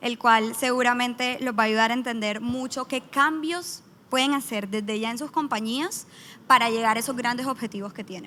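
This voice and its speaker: With a Colombian accent, a woman speaks at a high pitch and a moderate pace, with ordinary pitch variation. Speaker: business manager, startup founder. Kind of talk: conference panel talk. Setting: stage with audience.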